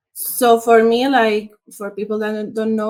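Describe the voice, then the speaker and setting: A woman with a Spanish accent speaks at a fairly slow pace in a fairly high voice. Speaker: international SEO consultant. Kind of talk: interview.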